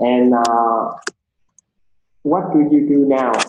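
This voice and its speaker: A man speaks in a Vietnamese accent. Audible room echo and light background noise surround him. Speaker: English teacher. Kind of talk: language lesson oral test. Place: home room. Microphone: webcam.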